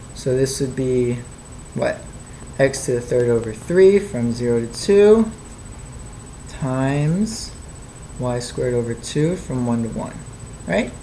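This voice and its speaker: Long, frequent pauses break up the speech, and there is noticeable background noise. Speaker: math tutor. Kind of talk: tutorial.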